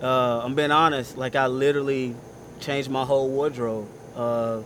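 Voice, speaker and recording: With noticeable background noise and audible room echo, a man talks at a moderate pace in a medium pitch with monotone, flat intonation. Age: 20s. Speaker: pastor. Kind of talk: testimony. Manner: loud.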